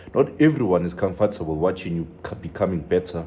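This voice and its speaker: Over noticeable background noise, a man with a very deep, low pitch speaks at a moderate pace. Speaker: preacher. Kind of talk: sermon.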